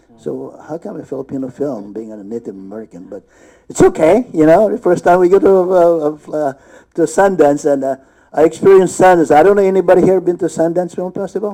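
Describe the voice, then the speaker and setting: A man speaks at a fairly quick pace in a high pitch, his tone dark and mellow. His intonation is lively, and his loudness swings widely. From Philippines. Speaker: actor. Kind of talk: panel discussion. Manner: halting.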